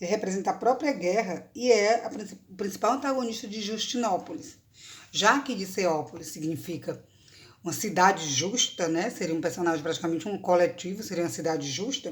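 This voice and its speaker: A woman's fairly quick, somewhat breathy speech at medium pitch, with lively intonation. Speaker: university professor of Greek language and literature. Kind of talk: academic lecture talk to camera.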